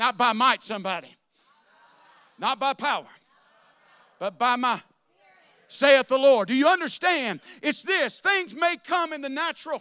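An extremely high-pitched male voice, bright and sharp, raised and projected, with lively intonation and an animated tone, at a moderate pace broken by long, frequent pauses, on a very clean recording with a silent background. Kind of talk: sermon. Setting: church. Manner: animated, call-and-response preaching, urging the congregation to shout back.

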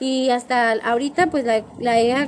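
The woman's high voice comes through noticeable background noise. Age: 20s. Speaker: nail technician, podcast co-host. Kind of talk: casual chat.

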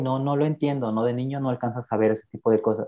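This man has an ordinary speaking voice, medium in pitch with ordinary pitch variation. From Mexico, Guerrero (rural town near Taxco). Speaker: podcast guest sharing life story. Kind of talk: personal testimony interview.

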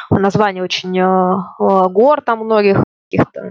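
A woman speaks in a medium pitch with ordinary variation. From Russia, Ufa (Bashkortostan). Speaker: immigrant interviewee. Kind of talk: casual interview.

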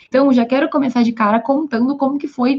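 A woman with a high pitch delivers her words at a fairly quick pace. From Brazil, Rio Grande do Sul (Santa Maria). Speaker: law content creator. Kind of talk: livestream talk. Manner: casual, conversational.

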